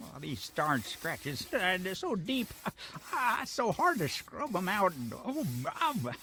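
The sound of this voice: A man's put-on character voice, high for a man, bright and sharp in tone, with big pitch swings, a slow pace and faint background noise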